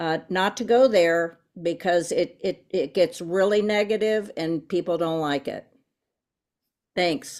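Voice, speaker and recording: This is a normal speaking voice, a woman at a medium pitch with ordinary pitch variation. She talks at a fairly slow pace on a very clean recording with a silent background. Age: 60s. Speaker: resident giving public comment. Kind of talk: public comment at school board meeting.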